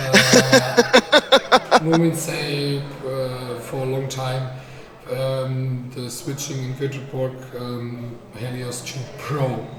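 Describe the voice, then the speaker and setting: A quiet woman speaks very slowly, her pitch very deep and low. Her intonation stays fairly even over noticeable background noise. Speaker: live stream commentator. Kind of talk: live commentary and casual chat. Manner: quiet, unable to speak louder. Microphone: too quiet on the stream.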